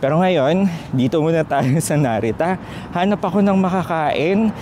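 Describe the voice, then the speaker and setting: Over noticeable background noise, a man speaks at a fairly slow pace, his fairly high pitch showing ordinary variation. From Philippines. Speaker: travel vlogger. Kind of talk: travel vlog. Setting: outdoors, airport. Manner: lowered voice.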